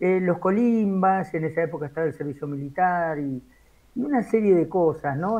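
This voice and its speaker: Here a man talks with a high pitch and ordinary pitch variation. His pace is moderate. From Argentina, Buenos Aires province (Cacharí). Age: 60s. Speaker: radio journalist. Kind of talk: interview. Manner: hesitant, with many fillers.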